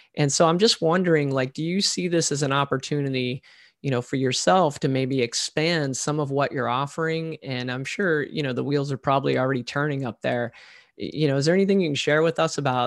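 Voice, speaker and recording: A man with an unremarkable speaking voice talks at a fairly high pitch with ordinary pitch variation. The recording is very clean, with a silent background. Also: fairly quick pace. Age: 40s. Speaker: podcast host. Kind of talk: interview.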